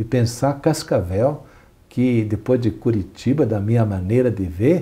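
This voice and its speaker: A man speaks with lively intonation and a somewhat breathy, dark, mellow tone. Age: 60s. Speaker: archbishop; interviewee. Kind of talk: interview; interview answer. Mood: relaxed, smiling, animated. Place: studio. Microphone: lapel.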